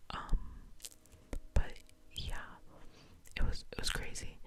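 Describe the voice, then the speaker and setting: Background noise is noticeable throughout. Over it, a woman whispers at a moderate speed. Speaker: university student, ASMR creator. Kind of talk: ASMR ramble, casual talk to camera. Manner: soft, whispered, chatty.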